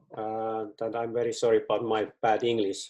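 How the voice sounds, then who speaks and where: With a Finnish accent, a man speaks at a medium pitch and a fairly slow pace. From Finland. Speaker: football club director. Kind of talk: presentation. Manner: halting.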